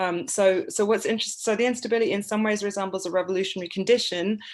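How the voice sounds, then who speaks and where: A woman's medium-pitched voice in an English accent, at a very fast pace. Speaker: artist and writer. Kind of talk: informal talk. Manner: halting, many fillers.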